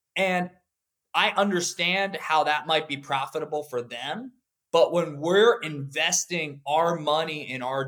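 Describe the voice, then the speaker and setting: A man with an American accent has a plain, everyday voice at a fairly high pitch. He talks at a fairly slow pace with ordinary pitch variation. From Pennsylvania, US. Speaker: law firm CEO and lawyer. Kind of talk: interview.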